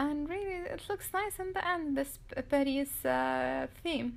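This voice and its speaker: A woman with a non-native accent speaks at a fairly slow pace with very wide pitch swings. The recording is very clean, with a silent background. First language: not English. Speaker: DIY crafts youtuber. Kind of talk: tutorial. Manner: halting.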